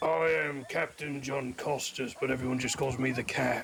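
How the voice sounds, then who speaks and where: A man puts on a raspy character voice at medium pitch, speaking at a moderate pace with ordinary pitch variation. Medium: game stream.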